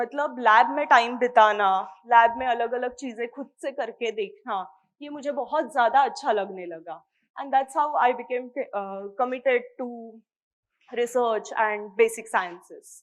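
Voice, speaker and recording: A woman with a Marathi accent speaks in a high voice with ordinary pitch variation and big swings in loudness. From India, Mumbai (Maharashtra). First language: Marathi (speaking Hindi). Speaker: microbiology PhD scholar. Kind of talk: interview talk to students.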